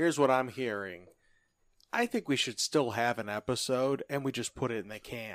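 In a dry, close sound with no echo, a man with a plain, everyday voice speaks at a medium pitch and moderate pace with ordinary pitch variation. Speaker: podcast co-host. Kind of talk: casual sports talk podcast.

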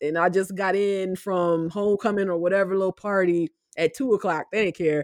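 Against a quiet background, a woman with a Southern US accent speaks fairly quickly in a medium pitch. Her intonation is fairly even, and the sound is dry and close with no echo. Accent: Southern US (Georgia). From US South, southwest Georgia (Albany). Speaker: professor. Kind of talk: interview. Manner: casual, frequent laughter.

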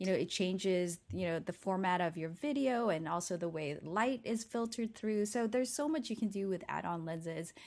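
An unremarkable speaking voice, a woman's at medium pitch, fairly quick with hardly any pauses and lively intonation. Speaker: video creator and photographer. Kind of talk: casual interview.

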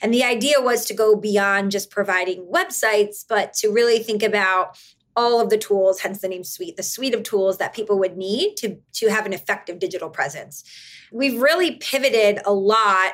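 A woman with an ordinary speaking voice talks at a moderate pace and fairly high pitch, with ordinary pitch variation, in a very clean recording with a silent background. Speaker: marketing executive. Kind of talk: casual interview chat.

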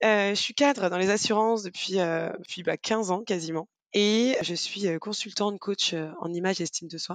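Woman at a medium pitch and moderate pace, ordinary pitch variation, dry and close with no echo, a normal speaking voice. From Brittany, France (Rennes). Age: 30s. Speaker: podcast guest, mother of a blended family. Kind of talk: casual interview chat.

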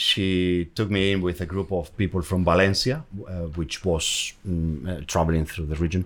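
On a very clean recording with a silent background, a man with a Spanish accent and a very deep, low pitch speaks at a moderate pace with hardly any pauses and fairly even intonation. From Basque Country, Spain. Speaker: account manager. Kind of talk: casual interview chat.

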